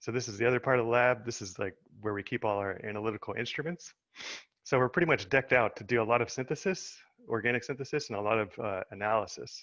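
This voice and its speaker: A man with an American accent, medium pitch and ordinary pitch variation, at a very fast pace against a quiet background. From US Midwest, Indiana. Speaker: chemistry researcher. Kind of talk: webinar talk.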